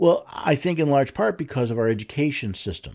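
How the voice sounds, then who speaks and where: Here a man speaks in a plain, everyday voice at a fairly high pitch and a fairly quick pace. His intonation is lively, and the recording is very clean with a silent background. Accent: American. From United States. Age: 60s. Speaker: radio host on the Constitution. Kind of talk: radio commentary monologue.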